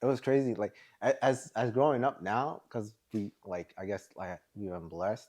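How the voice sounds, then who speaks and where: A man's plain, everyday voice in an American accent, at a moderate pace with ordinary pitch variation, against a quiet background. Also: medium pitch for a man. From Maryland, US. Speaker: podcast host. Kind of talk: casual chat.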